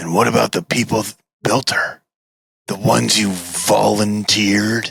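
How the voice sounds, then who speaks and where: A man uses a put-on character voice that sounds raspy and fairly low. He keeps a moderate pace. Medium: read story. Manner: dry, defiant.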